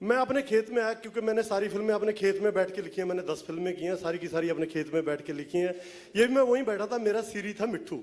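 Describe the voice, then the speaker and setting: A man speaks in a Punjabi accent at a high pitch with ordinary pitch variation. He hardly pauses at all. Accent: Punjabi-accented Hindi. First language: Punjabi (speaking Hindi). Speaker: film writer. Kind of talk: press event talk.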